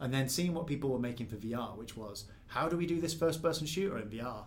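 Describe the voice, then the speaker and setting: Somewhat breathy, a man with a Mancunian accent talks at a very fast pace with ordinary pitch variation. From northern England, near Manchester. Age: 20s. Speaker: game developer. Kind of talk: casual interview. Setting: game studio. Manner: natural, relaxed.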